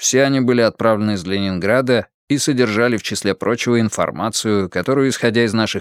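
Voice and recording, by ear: The natural voice reading aloud carries ordinary pitch variation, with a quiet background.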